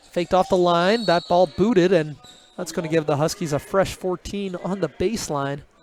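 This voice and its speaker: A man speaks at a moderate pace with a high pitch and fairly even intonation. Music can be heard behind him. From Newfoundland. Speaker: play-by-play sports commentator. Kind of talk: live commentary. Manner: conversational, relaxed.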